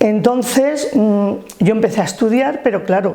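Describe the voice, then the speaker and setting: A woman in a normal speaking voice, fairly high in pitch, with ordinary pitch variation and a moderate pace. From Alicante province, Spain (Alto Vinalopó, rural). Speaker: trade unionist. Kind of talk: life-story interview.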